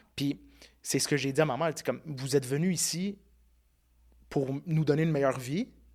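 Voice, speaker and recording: This man talks at a fairly quick pace in a fairly high pitch, his intonation fairly even. Long pauses come often. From Quebec, child of Italian immigrants. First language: Italian (speaking French). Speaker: podcast host, interview guest. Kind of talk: casual interview conversation.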